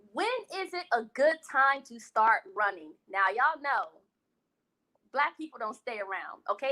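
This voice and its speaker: A woman's raised, projected voice, high-pitched with a bright, sharp tone, very wide pitch swings and big jumps in loudness. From West Indies. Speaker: food vlogger and live show host. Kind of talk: casual live-stream chat. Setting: live stream. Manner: animated.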